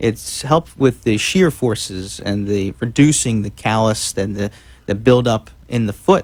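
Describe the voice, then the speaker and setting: Speaking with an American accent, a man uses a medium pitch, ordinary pitch variation and a fairly slow pace. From South Jersey / South Philadelphia. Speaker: podiatrist. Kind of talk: radio interview. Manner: halting.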